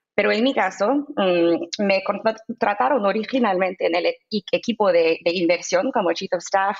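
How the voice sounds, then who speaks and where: Speaking at a moderate pace with a non-native accent, a woman uses lively intonation at a medium pitch. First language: English (speaking Spanish). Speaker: crypto investment fund executive. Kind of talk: interview. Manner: halting with filler sounds.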